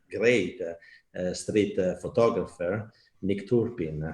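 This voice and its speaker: Very slowly, a man speaks with an Italian accent. His pitch is very deep and low. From Italy. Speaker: festival art director and talk host. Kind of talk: online talk hosting. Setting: online live stream. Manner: halting, many fillers.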